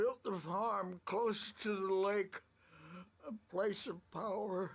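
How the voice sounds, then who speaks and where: A put-on character voice, female-sounding and at a middle pitch, speaks at a very slow pace in a tired tone. Its intonation is fairly even and its loudness very even. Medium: video game. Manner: rambling, tired.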